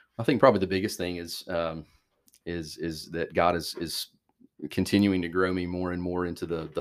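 Speaking in a very deep, low pitch with an Alabama accent, a man keeps a moderate pace and a monotone, flat intonation. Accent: Alabama Southern. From US South. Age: 30s. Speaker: church youth minister. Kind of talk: casual interview chat.

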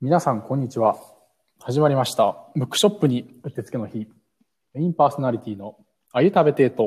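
Fairly quick, somewhat breathy speech with lively intonation, long, frequent pauses and big swings in loudness. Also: man, medium pitch for a man. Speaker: podcast host. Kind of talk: casual chat. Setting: remote recording via app. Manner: fast.

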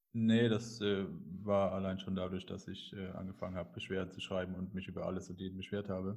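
This man talks very fast. His voice is very deep and low. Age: 30s. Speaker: adult film agency owner. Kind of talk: interview. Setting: internet call. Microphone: poor online audio quality.

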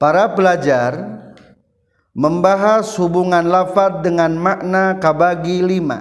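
With a West Javanese accent, a man talks at a high pitch with normal rises and falls, and the room echo is audible. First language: Sundanese (speaking Indonesian). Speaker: Islamic religious teacher. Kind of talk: lecture.

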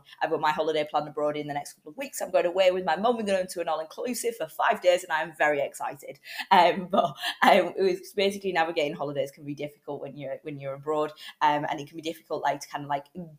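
A fairly low-voiced woman with a British accent talks very fast, her pitch varying in an ordinary way while her loudness swings widely. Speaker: podcast host. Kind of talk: casual podcast monologue. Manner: hesitant, many fillers.

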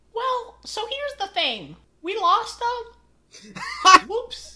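In a put-on character voice with extremely high pitch, the speaker goes at a very slow pace. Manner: sheepish, apologetic.

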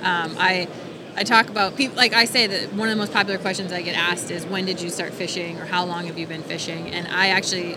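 Over noticeable background noise, a woman with an American accent talks at a very fast pace, her medium-pitched voice fairly even in intonation. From Wisconsin, US Midwest. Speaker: fishing TV host and resort owner. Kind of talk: casual interview chat.

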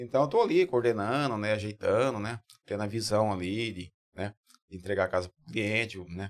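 At a fairly quick pace, an unremarkable speaking voice comes through with ordinary pitch variation and a dry, close sound with no echo. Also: man, fairly low pitch for a man. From interior of São Paulo state, Brazil. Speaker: builder. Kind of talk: podcast interview.

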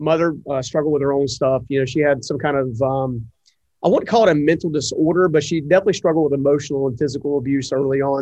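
This man has an American accent and a fairly high pitch. He talks very fast with ordinary pitch variation. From North Carolina, US South. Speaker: entrepreneur and author. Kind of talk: casual interview.

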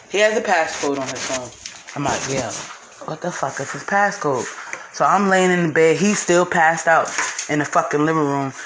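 With an American accent, a woman with a very deep, low pitch and ordinary pitch variation talks at a moderate pace, leaving long, frequent pauses, over noticeable background noise. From northern New Jersey. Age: 30s. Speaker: podcaster, stay-at-home mom. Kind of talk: personal storytelling monologue. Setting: home, washing dishes. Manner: casual, hesitant with many fillers.

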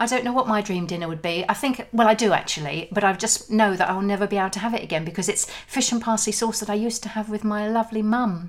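A woman at a very fast pace with hardly any pauses and ordinary pitch variation, over noticeable background noise. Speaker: podcast host. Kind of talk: casual chat.

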